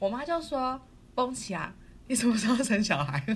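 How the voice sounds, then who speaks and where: Vocal fry runs through the voice. It moves at a fairly quick pace with very wide pitch swings. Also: woman. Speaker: podcast co-host. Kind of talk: casual chat. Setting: recording remotely in quarantine room. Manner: loud; animated.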